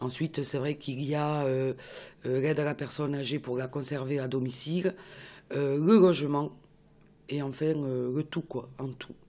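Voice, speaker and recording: The voice has a dark, mellow tone and fairly even intonation. It moves at a fairly slow pace, broken by long, frequent pauses. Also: woman, very deep, low pitch for a woman. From Toulouse, southern France. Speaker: regional councillor. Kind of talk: interview. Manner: hesitant.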